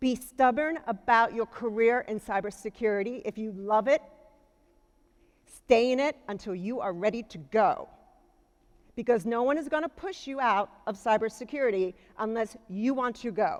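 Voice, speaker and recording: A woman talks at a moderate pace with a fairly high pitch and ordinary pitch variation. Her loudness swings widely. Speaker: keynote speaker, cybersecurity executive. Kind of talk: keynote speech. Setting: conference stage with audience.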